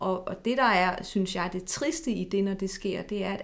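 At a moderate pace, a woman talks in a normal speaking voice of medium pitch. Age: 40s. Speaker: eating disorder therapist. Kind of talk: interview.

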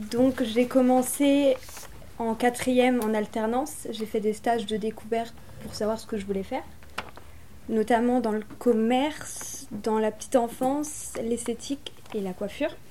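A woman with a fairly high pitch speaks at a fairly slow pace with fairly even intonation and big swings in loudness, over noticeable background noise. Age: 20s. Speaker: aspiring home hairdresser. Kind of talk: interview testimony.

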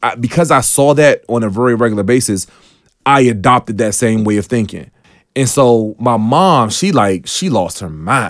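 A man at a medium pitch with an American accent, moderate in pace, with ordinary pitch variation. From Washington DC. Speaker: tech entrepreneur. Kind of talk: radio interview. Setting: radio studio. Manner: enthusiastic.

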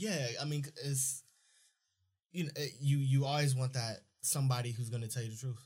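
Somewhat breathy, a man at a medium pitch talks at a moderate pace with fairly even intonation and long, frequent pauses. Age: 20s. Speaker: podcast host. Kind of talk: casual chat. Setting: studio.

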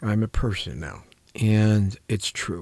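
Recorded very cleanly against a silent background, a man speaks at a fairly low pitch. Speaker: coach and mentor, clinician. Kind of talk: radio talk show interview. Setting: radio studio. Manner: lower and softer when talking about personal life.

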